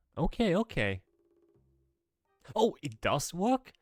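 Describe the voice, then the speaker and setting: A man with a Norwegian accent speaks with very wide pitch swings over background music, in a dry, close recording with no echo. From Norway. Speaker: streamer. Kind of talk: casual chat. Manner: hesitant, many fillers.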